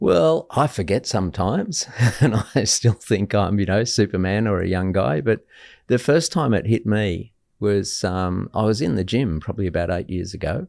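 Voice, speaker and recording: Lively intonation from a man with an Australian accent, on a very clean recording with a silent background. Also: fairly low pitch for a man, moderate pace. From Australia, Sydney. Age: 60s. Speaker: guest speaker on mental health. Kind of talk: casual chat. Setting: stage with audience.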